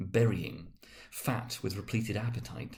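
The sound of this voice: Fairly low pitch from a man, with vocal fry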